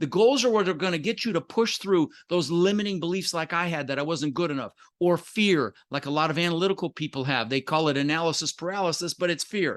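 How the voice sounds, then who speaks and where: An animated tone comes through at a very fast pace with ordinary pitch variation, in a dry, close sound with no echo. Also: man, high pitch for a man. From Netherlands, emigrated at six. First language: Dutch. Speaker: entrepreneur and real estate investor. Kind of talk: interview, storytelling.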